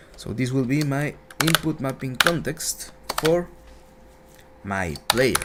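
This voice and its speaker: There is noticeable background noise. A man speaks in a medium pitch. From Latin America. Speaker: game development instructor. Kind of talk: livestream tutorial. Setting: livestream. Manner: a little slower than usual.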